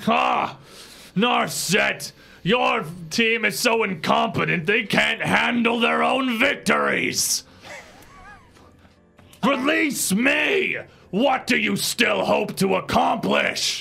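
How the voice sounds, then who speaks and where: A man uses a put-on character voice with a high pitch. He speaks at a very slow pace over faint music in the background. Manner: angry, shouting, demanding.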